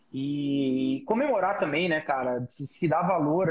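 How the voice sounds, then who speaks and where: A fairly high-pitched male voice against noticeable background noise. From Brazil, São Paulo. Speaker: hairdresser, salon owner and hair educator. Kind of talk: casual chat. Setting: video call.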